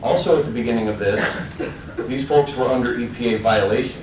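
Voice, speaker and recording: Someone with an American accent speaks at a moderate pace with ordinary pitch variation, amid audible room echo and noticeable background noise. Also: man. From Illinois. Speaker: resident speaking at public meeting. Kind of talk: public comment at town meeting.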